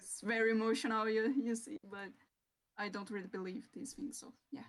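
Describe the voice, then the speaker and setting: A woman talks at a fairly quick pace in a fairly high, somewhat breathy voice. Her pitch varies in an ordinary way. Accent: Portuguese. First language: Portuguese. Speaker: digital artist. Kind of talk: casual chat on a live stream. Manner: halting.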